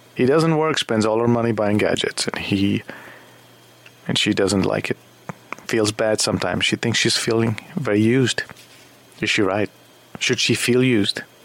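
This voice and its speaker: Over noticeable background noise, a man talks at a moderate pace and medium pitch with ordinary pitch variation, very even loudness and long, frequent pauses. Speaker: radio talk show host. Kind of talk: late-night call-in talk show. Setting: studio.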